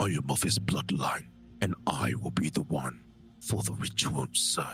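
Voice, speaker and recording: A man whispering in a put-on character voice, with clear background noise. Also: moderate pace. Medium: actual play.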